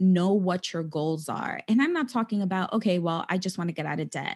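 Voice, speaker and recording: Against a quiet background, a woman with an American accent speaks in a normal speaking voice at medium pitch with ordinary pitch variation. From New York City (the Bronx). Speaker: financial coach. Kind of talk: interview.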